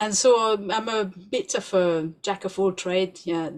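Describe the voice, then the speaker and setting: The speaker has a French accent and talks at a fairly slow pace. Intonation stays fairly even. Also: woman. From France. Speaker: doula and researcher. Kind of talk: podcast interview.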